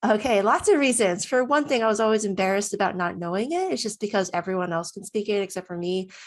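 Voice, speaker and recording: Against a quiet background, the speaker talks at a very fast pace. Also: woman. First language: Cantonese. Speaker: cybersecurity professional, language student. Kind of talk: testimonial interview. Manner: casual, with fillers.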